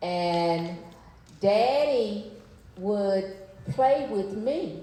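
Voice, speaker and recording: A woman with a Mississippi accent and a medium-pitched voice speaks with lively intonation, amid audible room echo and noticeable background noise. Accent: Southern US (Mississippi). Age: 60s. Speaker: civil rights leader's daughter, panelist. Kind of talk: personal storytelling on panel.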